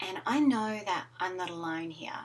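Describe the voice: The delivery moves at a moderate pace. Pitch varies in an ordinary way. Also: woman, fairly low pitch for a woman.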